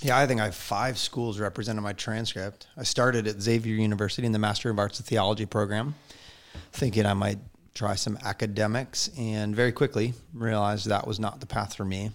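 A man with an unremarkable speaking voice talks at a fairly quick pace, his pitch fairly low and intonation fairly even. The recording is very clean, with a silent background. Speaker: pastor and musician. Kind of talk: casual chat.

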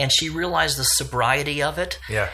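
A man speaks at a fairly high pitch with a bright, sharp tone. His voice has vocal fry and ordinary pitch variation. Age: 60s. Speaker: pastor. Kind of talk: interview.

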